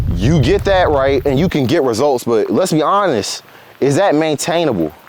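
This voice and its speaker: There is noticeable background noise behind this man. His voice is fairly high, with lively intonation. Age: 20s. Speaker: motivational vlogger. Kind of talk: casual motivational talk to camera. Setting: outdoors on a walk. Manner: casual, conversational.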